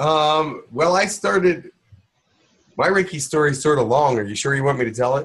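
A man with fairly high pitch and lively intonation, at a moderate pace against a quiet background. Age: 60s. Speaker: channeler and Reiki teacher; Reiki teacher. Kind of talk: online workshop. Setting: video call. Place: home room. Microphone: webcam.

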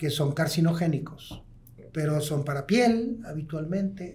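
Using a fairly slow pace, a man speaks with a fairly high pitch and ordinary pitch variation. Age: 60s. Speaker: pulmonologist, hospital medical director; guest. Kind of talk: interview, expert explanation. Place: studio. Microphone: studio mic.

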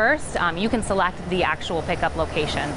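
Music plays in the background. A woman speaks at a very fast pace. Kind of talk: interview answer. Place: street.

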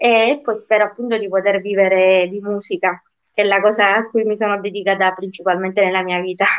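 In a quiet background, a woman speaks at a moderate pace. Her pitch is medium and her intonation monotone and flat. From Sicily, province of Messina; Sicily. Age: 20s. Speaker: singer; interviewee. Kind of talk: interview. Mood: friendly, a little shy. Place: home room. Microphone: video call.

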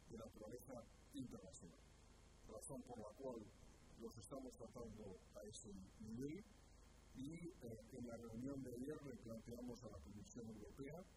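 Over loud background noise, a man speaks at a fairly slow pace with ordinary pitch variation and long, frequent pauses. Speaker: government minister. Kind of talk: press conference statement. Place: hall. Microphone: podium.

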